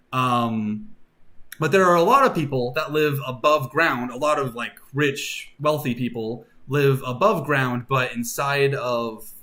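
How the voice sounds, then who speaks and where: A man's fairly high voice with a bright, sharp tone, lively intonation and a fairly slow pace. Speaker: streamer and worldbuilding artist. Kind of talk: casual live stream chat. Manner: casual, many fillers.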